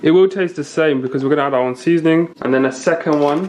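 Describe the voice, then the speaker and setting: Noticeable background noise surrounds a man whose voice sits fairly high, with ordinary variation in pitch. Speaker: cooking video host. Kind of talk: cooking tutorial. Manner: casual, chatty.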